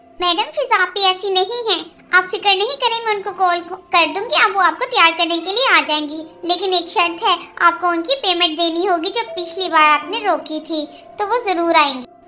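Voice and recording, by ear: In a cartoonish character voice, a woman talks at an extremely high pitch. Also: moderate pace, ordinary pitch variation.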